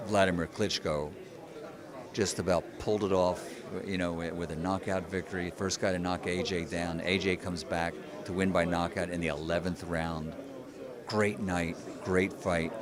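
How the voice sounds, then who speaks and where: Speaking at a moderate pace with long, frequent pauses, a man with a very deep, low voice and an American accent keeps a monotone, flat intonation. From United States. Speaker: ring announcer. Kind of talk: interview answer.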